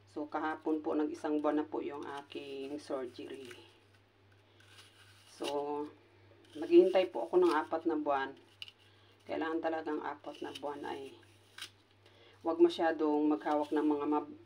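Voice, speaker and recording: The speaker talks at a moderate pace. Long pauses come often. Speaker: vlogger and caregiver. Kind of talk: casual vlog talk to camera. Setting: hotel resort. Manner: loud laugh, she says.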